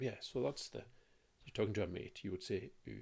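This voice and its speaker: A man with a Hebridean accent. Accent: Lewis. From Scotland, Isle of Lewis (Ness). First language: Scottish Gaelic. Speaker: language teacher. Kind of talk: tutorial. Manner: casual, hesitant with fillers.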